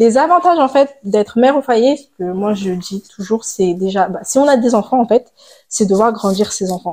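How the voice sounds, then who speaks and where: Lively in intonation, a woman with a fairly high pitch speaks in a dark, mellow tone. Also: moderate pace. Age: 20s. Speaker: stay-at-home mother. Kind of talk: casual interview chat. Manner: halting, many hesitations.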